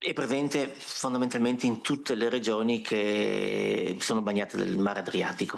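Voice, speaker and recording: Over audible room echo, a man with an Italian accent speaks at medium pitch and a moderate pace, with fairly even intonation and very even loudness. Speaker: consumer cooperative representative. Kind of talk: panel presentation. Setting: conference workshop with audience.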